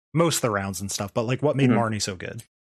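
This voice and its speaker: A man speaks at a medium pitch with an American accent and lively intonation. The background is quiet. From Arizona. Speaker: podcast host. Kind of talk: casual chat. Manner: animated.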